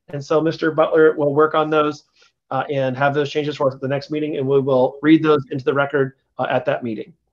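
Speaking with an American accent, a man has a fairly high pitch. He talks at a fairly quick pace in a monotone, flat way. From US Midwest. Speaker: city council committee chair. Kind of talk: council meeting. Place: office. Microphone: video call.

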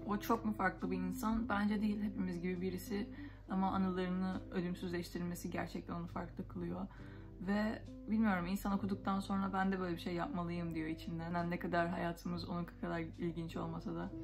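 A woman talks fairly quickly over clear background music. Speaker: book vlogger. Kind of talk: casual book review chat. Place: home room. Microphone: phone near.

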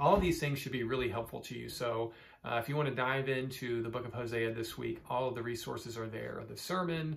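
Somewhat breathy, a man speaks at a fairly quick pace with fairly even intonation. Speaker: church pastor. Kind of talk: bible study teaching talk. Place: office. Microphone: phone near.

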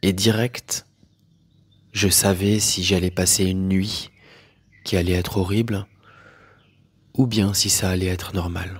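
In a very clean recording with a silent background, a man with a very deep, low pitch talks very slowly in a monotone, flat, somewhat breathy voice, leaving long, frequent pauses. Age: 40s. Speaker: spiritual teacher. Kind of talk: personal testimony monologue. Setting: solo audio recording.

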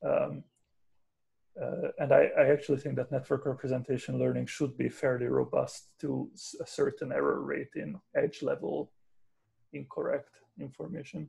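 A man talks at a moderate pace. He takes long, frequent pauses. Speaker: research scientist. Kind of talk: technical discussion. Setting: video call. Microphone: video call.

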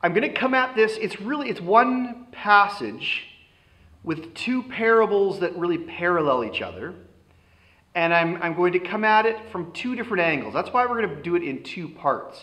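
Against a quiet background, a raised, projected voice with a bright, sharp tone moves at a moderate pace with lively intonation. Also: man. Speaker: pastor. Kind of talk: sermon. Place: hall.

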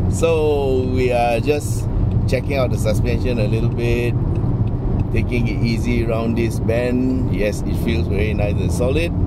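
Loud background noise fills a dry recording with no echo. The speaker talks at a fairly slow pace. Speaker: car reviewer driving. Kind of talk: casual test drive commentary and interview. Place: car.

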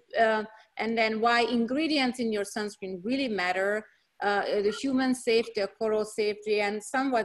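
A woman speaks with a Hungarian accent at a fairly high pitch. Her pace is moderate and the background is quiet. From Hungary. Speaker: dermatologist. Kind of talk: lecture. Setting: video call.

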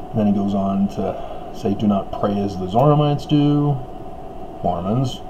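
A man with an American accent speaks at a fairly low pitch and moderate pace, using ordinary pitch variation. He takes long, frequent pauses amid noticeable background noise. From Utah, US. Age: 50s. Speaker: religious commentator. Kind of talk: monologue commentary; casual vlog commentary. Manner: casual, halting with fillers. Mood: critical, earnest. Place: home room. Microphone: webcam.

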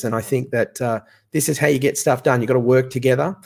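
On a very clean recording with a silent background, a man speaks at a medium pitch with an Australian accent. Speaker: association chief executive.

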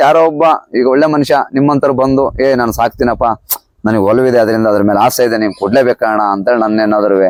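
A man with a plain, everyday voice speaks at a medium pitch with very even loudness. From Karnataka, Hassan district. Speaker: cattle farmer. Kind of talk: interview.

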